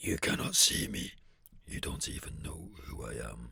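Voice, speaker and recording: At a moderate pace, a raspy, put-on character voice delivers the lines. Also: man, very deep, low pitch for a man. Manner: dramatic, sinister.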